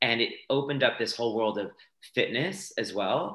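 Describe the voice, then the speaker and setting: Medium in pitch, a man with an American accent talks at a fairly quick pace. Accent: transatlantic, American-sounding. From France. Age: 20s. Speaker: dancer and fitness instructor. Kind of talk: casual interview.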